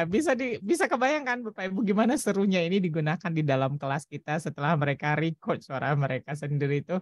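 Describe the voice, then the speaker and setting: A woman at a very fast pace with very wide pitch swings and hardly any pauses, in a dry, close sound with no echo. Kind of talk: teacherly, conversational.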